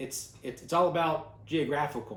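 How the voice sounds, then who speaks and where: A somewhat breathy man speaks at a moderate pace with audible room echo. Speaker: bible class teacher. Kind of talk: bible class teaching.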